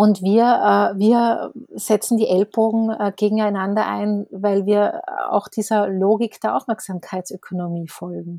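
At a fairly slow pace, a woman speaks in a medium pitch with ordinary pitch variation and a dark, mellow tone. The sound is dry and close with no echo, in a very clean recording with a silent background. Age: 40s. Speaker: newspaper editor and author. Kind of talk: casual interview conversation.

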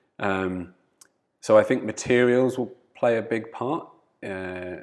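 A man speaks at a very slow pace with ordinary pitch variation. The recording is very clean, with a silent background. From Channel Islands, UK. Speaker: founder of a surfing sustainability nonprofit. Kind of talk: casual interview. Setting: living room. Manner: halting, many fillers.

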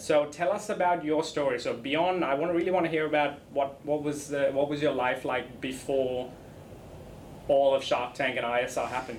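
Ordinary pitch variation from a man at a fairly high pitch and a moderate pace. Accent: Australian. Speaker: podcast host. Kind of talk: interview. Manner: casual, enthusiastic.

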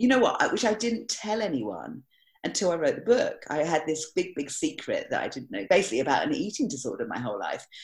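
Vocal fry and very wide pitch swings come through on a very clean recording with a silent background. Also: woman. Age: 50s. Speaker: magician. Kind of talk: casual chat.

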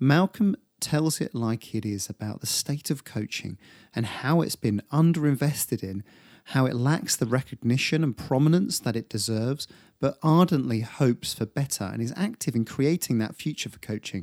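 Here a man speaks in an ordinary speaking voice at medium pitch, moving at a moderate pace with lively intonation. The recording is very clean and dry, close with no echo, over a silent background. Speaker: podcast host. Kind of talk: interview, intro monologue.

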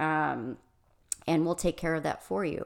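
Vocal fry from a woman in a very clean recording with a silent background. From Michigan. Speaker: restaurant consultant and coach. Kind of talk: interview conversation.

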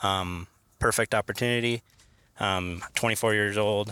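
The voice has a bright, sharp tone, monotone, flat intonation and an American accent. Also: man, very clean recording, silent background. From western Oregon. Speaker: hunter. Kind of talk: casual chat. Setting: in a car.

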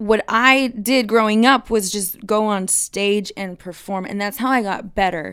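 Speaking at a fairly slow pace, a woman uses fairly even intonation at a medium pitch in a very clean recording with a silent background. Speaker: singer. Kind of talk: interview.

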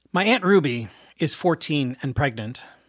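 Recorded very cleanly with a silent background, a man speaks in a normal speaking voice at a fairly high pitch with ordinary pitch variation. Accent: American. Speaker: playwright and performer. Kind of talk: solo theatrical monologue.

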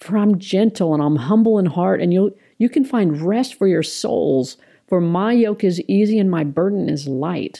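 With a normal speaking voice at medium pitch, a woman speaks at a fairly slow pace using lively intonation. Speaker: ministry co-founder. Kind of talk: casual chat.

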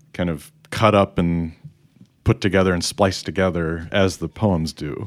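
A man with an American accent, at a moderate pace. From Chicago area, US Midwest. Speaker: podcast host. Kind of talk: casual chat, podcast discussion.

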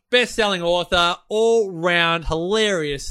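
In an Australian accent, a man speaks at a fairly slow pace in a raised, projected voice, his tone animated, bright and sharp, with ordinary pitch variation over a quiet background. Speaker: podcast host. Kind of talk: casual interview chat. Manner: animated, jokey.

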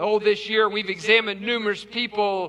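Speaking at a moderate pace, a man with an American accent uses a raised, projected voice. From West Virginia. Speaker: pastor. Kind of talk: sermon. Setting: church.

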